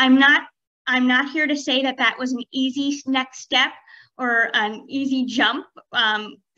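Against a quiet background, a woman with a bright, sharp tone speaks in a high pitch at a moderate pace with fairly even intonation. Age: 30s. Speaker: professor. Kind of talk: panel presentation. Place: home room.

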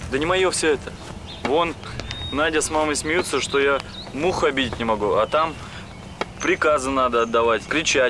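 A man talks at a moderate pace with ordinary pitch variation and long, frequent pauses, in a dry recording with no echo but noticeable background noise. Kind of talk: acted dialogue. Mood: earnest, slightly defensive. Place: street.

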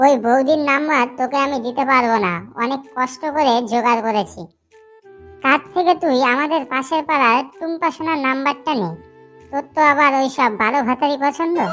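This is a cartoonish character voice. Faint music plays in the background. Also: woman, moderate pace.

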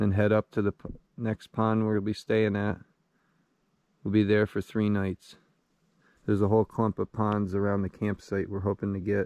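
A man with a fairly low pitch speaks in a flat monotone at a moderate pace, with long, frequent pauses, against a quiet background and a dry sound with no echo. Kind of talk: casual vlog chat. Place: forest.

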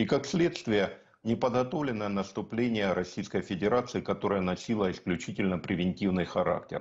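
With ordinary pitch variation and a moderate pace, a man talks over a quiet background. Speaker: military-political analyst. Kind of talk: TV news interview. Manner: formal. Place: home room. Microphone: video call.

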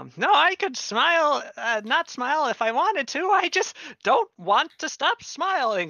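A man's put-on character voice, extremely high in pitch, nervous in tone and fairly slow in pace. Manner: forced cheer, nervous, evasive.

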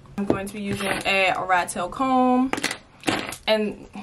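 Through loud background noise, a woman talks with ordinary pitch variation. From New Jersey. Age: 20s. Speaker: vlogger. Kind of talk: casual vlog talk to camera. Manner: animated. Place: home room. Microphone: phone near.

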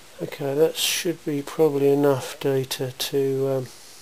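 A man at a medium pitch and fairly slow pace, slightly mellow in tone with little pitch movement, over faint background noise.

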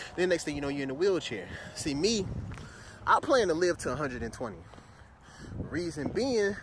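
A man talks at a fairly quick clip, his pitch swinging very widely, with vocal fry. Noticeable background noise runs underneath. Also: dry sound with no echo. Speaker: vlogger. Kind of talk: casual comedic vlog chat. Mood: playful, joking. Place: street. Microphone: phone near.

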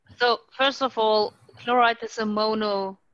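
A woman with a German accent talks in a fairly high voice, recorded dry and close with no echo. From Germany. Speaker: sludge treatment expert. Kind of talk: technical panel Q&A answers. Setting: video call webinar. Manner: halting, searches for words.

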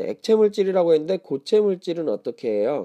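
A man is speaking. His voice sits high in pitch. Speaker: science teacher. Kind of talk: exam review lecture. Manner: conversational, asks questions.

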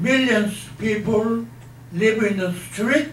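Lively in intonation, a man speaks with audible room echo and light background noise. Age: 80s+. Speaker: retired professor. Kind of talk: lecture to an audience. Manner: unscripted, no notes. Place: hall.

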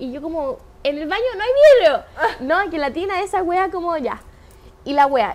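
With lively intonation, a woman talks at an extremely high pitch. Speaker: podcast co-host, social media influencer. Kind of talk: casual chat.

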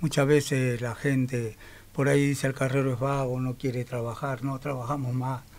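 Flat, monotone intonation from a man with a Rioplatense accent. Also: medium pitch for a man, moderate pace. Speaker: waste picker leader. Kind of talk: radio interview. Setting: studio. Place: studio. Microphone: studio mic.

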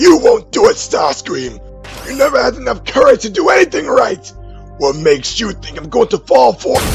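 Clear music plays in the background while a man speaks in a put-on character voice at a moderate pace. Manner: commanding, scornful.

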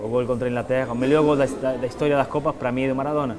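Someone with a strong Argentine accent speaks over music in the background. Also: man. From Argentina. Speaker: retired footballer and TV host. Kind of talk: interview answer. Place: home room.

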